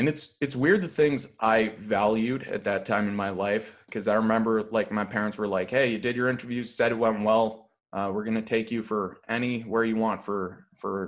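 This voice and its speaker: A man with a Canadian accent, an ordinary speaking voice at medium pitch. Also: quiet background. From Canada, Toronto suburbs (Thornhill). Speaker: comedian and sports podcaster. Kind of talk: casual chat.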